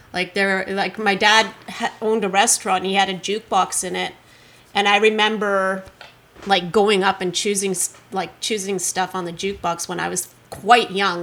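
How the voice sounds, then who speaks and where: A woman speaks at medium pitch and a moderate pace in a monotone, flat delivery with vocal fry. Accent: Canadian. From Canada, Kelowna, British Columbia. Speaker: rock musician. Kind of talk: casual interview.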